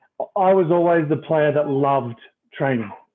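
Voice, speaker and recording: A man with a slight Australian accent at a moderate pace. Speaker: retired rugby player and coach. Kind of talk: casual interview.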